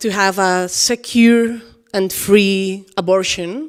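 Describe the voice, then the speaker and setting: A woman talks with a Spanish accent. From Spain. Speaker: author and dancer. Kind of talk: public interview on stage. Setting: event hall with audience. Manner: halting.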